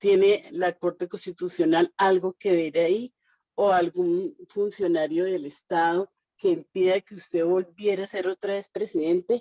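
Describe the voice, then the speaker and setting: In a dry, close sound with no echo, a dark, mellow tone moves at a fairly slow pace with ordinary pitch variation. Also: woman. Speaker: audience participant. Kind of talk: question from audience. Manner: halting.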